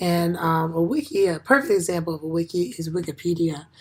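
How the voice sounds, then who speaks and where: A woman is speaking with ordinary pitch variation. Noticeable background noise can be heard. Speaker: education student. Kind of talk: class presentation. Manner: halting, many fillers.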